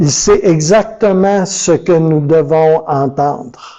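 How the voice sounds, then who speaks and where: With ordinary pitch variation, the words come out at a very slow pace. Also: man. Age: 60s. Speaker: pastor. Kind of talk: sermon. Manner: animated.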